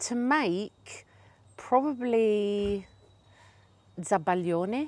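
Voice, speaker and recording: Very slowly, a woman speaks with lively intonation. The recording is very clean, with a silent background. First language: Italian. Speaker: business owner and trainer. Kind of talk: interview.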